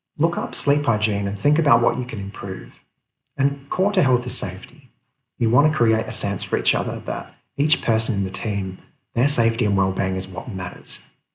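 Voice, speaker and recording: At a fairly quick pace, a man speaks at a medium pitch in a somewhat breathy voice. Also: lively intonation. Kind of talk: motivational talk to camera. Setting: office. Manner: whispered, quiet.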